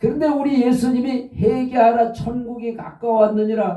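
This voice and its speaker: The man's pitch is extremely high. His tone is dark and mellow. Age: 70s. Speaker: pastor. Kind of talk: sermon.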